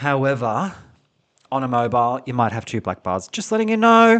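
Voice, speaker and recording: A man with an Australian accent speaks with very wide pitch swings. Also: quiet background. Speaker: podcast co-host. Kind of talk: casual chat. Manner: articulate.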